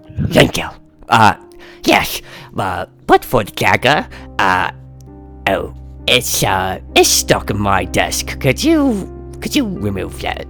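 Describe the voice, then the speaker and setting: With clear music in the background, a man uses a put-on character voice at a very deep, low pitch, speaking fairly slowly with long, frequent pauses. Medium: actual play. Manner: rambling, chuckling, theatrical.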